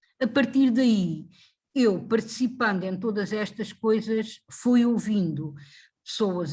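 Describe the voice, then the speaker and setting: In a very clean recording with a silent background, a woman speaks very slowly in a somewhat breathy, fairly high voice with ordinary pitch variation. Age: 70s. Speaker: retired factory worker and activist. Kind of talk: interview. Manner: halting.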